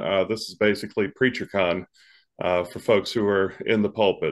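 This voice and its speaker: Against a quiet background, a man with a fairly low pitch and an unremarkable speaking voice talks at a moderate pace with fairly even intonation. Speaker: host, pastor. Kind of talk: interview host introduction. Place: home room. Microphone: earbuds.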